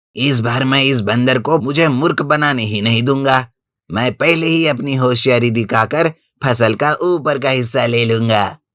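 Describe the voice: Using a cartoonish character voice at medium pitch, a man speaks at a moderate pace.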